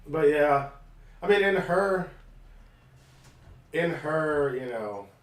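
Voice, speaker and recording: There is audible room echo as a man talks very slowly at a fairly high pitch with lively intonation. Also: long, frequent pauses. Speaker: let's play gamer. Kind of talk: casual chat.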